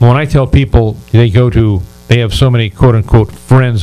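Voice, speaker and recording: A man with a medium-pitched voice. His tone is dark and mellow. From United States. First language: not English. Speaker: radio talk show host and relationship advisor. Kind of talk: interview talk show. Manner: animated.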